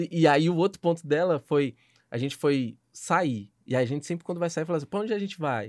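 An animated man at a fairly quick pace and fairly high pitch, with ordinary pitch variation, in a dry, close sound with no echo and a silent background on a very clean recording. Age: 20s. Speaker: podcast host. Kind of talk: casual chat.

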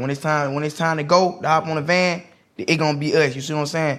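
A man talks at a fairly quick pace in a Southern US accent. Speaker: street water vendor. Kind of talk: casual chat.

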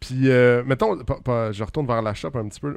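A man with a Quebec accent speaks at a medium pitch against a quiet background. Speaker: car podcast co-host. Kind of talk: casual chat.

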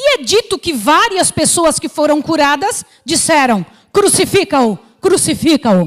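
Speaking at a fairly slow pace, a woman with a high pitch makes very wide pitch swings. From Brazil. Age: 60s. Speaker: missionary preacher. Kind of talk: sermon.

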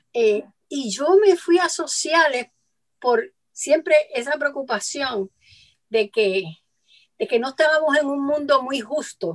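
A woman speaks at a very slow pace and high pitch, with very wide pitch swings and long, frequent pauses. The sound is dry and close with no echo. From Puerto Rico. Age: 70s. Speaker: lawyer and feminist advocate. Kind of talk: radio interview. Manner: halting, many fillers.

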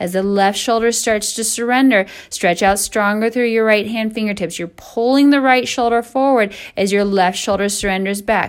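A woman with a plain, everyday voice speaks at a fairly high pitch. Her intonation stays fairly even at a moderate pace. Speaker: yoga instructor. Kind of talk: guided hot yoga class cueing poses and breath. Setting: recorded online class at home, away from studio. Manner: calm, steady breath-paced instructional cueing; warm, encouraging.

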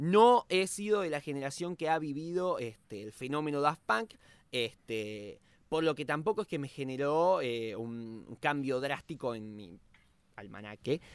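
A man with an Argentine accent at a fairly slow pace, with very wide pitch swings and big swings in loudness, in a very clean recording with a silent background. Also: fairly high pitch for a man. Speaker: podcast host. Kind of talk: casual chat.

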